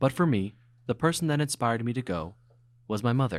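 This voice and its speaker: On a very clean recording with a silent background, a man speaks in a normal speaking voice at a medium pitch and moderate pace. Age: young. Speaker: student filmmaker. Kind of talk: scripted narration.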